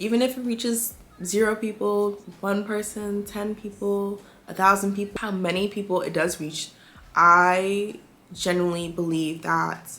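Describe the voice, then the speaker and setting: A woman with an American accent speaks at a medium pitch with fairly even intonation. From DMV area (DC, Maryland, Virginia). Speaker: beauty and lifestyle content creator. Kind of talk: casual talk to camera.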